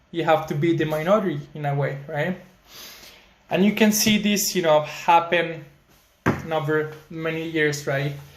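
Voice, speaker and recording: With fairly even intonation and a fairly high pitch, a man speaks at a moderate pace and takes long, frequent pauses. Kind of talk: casual talk to camera. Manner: frequent filler words.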